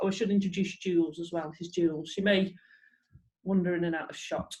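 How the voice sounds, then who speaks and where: A woman speaks with a northern English accent. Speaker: fitness instructor. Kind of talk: exercise class instruction.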